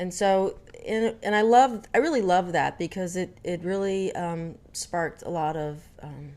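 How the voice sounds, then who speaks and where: The voice has an American accent and lively intonation. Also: woman. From Dallas, Texas. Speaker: vlogger. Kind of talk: casual vlog storytelling. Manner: hesitant, many fillers.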